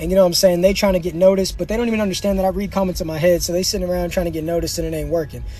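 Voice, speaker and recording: Over clearly audible background noise, a man's voice sits high in pitch. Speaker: livestreamer. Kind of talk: live stream chat. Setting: in a car. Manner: fast; animated.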